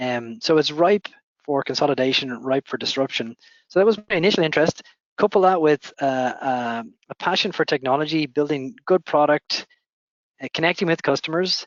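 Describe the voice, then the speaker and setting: This man's voice sits at a fairly high pitch, with ordinary variation in it. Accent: Dublin. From Ireland, Dublin. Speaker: company founder and CEO. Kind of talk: interview answers. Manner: measured with filler hesitations.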